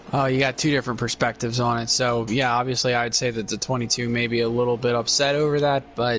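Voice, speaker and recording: Over noticeable background noise, a man with an American accent talks very fast at a medium pitch, with hardly any pauses, very even loudness and monotone, flat intonation. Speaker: sim racing commentator. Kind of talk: live commentary.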